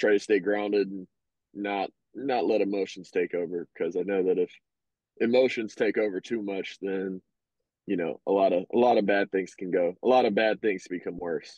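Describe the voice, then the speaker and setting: The speaker has an American accent and keeps a moderate pace with fairly even intonation. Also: man, fairly low pitch for a man. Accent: Southern, considered very country. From Arkansas, US South. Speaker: professional baseball player. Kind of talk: podcast interview. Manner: hesitant, many fillers.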